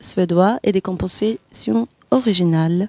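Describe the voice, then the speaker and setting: A woman with a Swedish accent, dark and mellow in tone, at a fairly slow pace with ordinary pitch variation, in a dry, close sound with no echo. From Sweden. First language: Swedish (speaking French). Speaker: jazz singer. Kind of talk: interview. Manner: halting.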